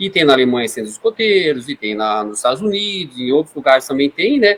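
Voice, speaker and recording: This man's intonation is lively. He talks at a moderate speed. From Brazil, Foz do Iguaçu (Paraná). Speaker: scouting leader. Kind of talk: podcast interview.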